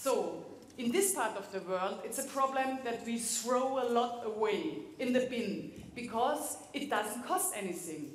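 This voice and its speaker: A woman with a German accent talks at a fairly slow pace in a high voice with very wide pitch swings, over noticeable background noise and audible room echo. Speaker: cook giving a demonstration. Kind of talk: cooking demonstration to an audience. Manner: halting, searching for English words.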